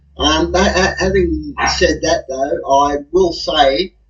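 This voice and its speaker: His intonation is lively. The man has an Australian accent. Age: 60s. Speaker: guest commentator. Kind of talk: casual chat.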